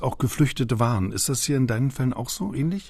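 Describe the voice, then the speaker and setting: A man speaks at a fairly quick speed, with noticeable background noise around him. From East Berlin. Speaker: radio host. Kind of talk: podcast moderation and interview.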